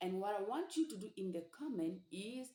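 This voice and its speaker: A woman with a Central African accent and a dark, mellow tone speaks at a medium pitch, her voice making very wide pitch swings. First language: Sango. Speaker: language teacher. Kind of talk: tutorial.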